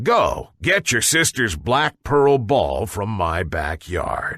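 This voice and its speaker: Using a put-on character voice, a man speaks raspy and at a very slow pace with a medium pitch. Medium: read story. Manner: menacing.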